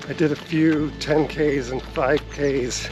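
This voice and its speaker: There is noticeable noise in the background. Over it, a man is talking. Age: 50s. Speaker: runner and fitness vlogger. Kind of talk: casual vlog narration.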